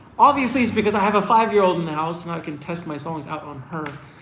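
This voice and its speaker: A high-pitched man with lively intonation, amid audible room echo and noticeable background noise. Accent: American. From US East Coast, Washington DC area. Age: 30s. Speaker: singer. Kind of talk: live Q&A stream. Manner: casual, filler-heavy.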